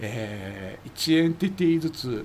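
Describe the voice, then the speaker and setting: A man talks while noticeable background noise plays behind him. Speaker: amateur radio expert commentator. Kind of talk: explanatory casual chat.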